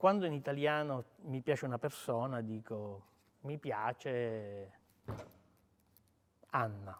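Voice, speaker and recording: A man at a medium pitch with ordinary pitch variation speaks at a very slow pace with long, frequent pauses. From Sicily, Palermo. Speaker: writer. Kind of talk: talk with interpreter at book event.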